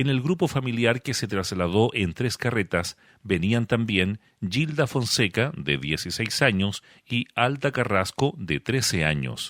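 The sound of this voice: In a very clean recording with a silent background, a man speaks at a fairly slow pace with few pauses, a fairly low pitch, lively intonation and a fairly bright tone.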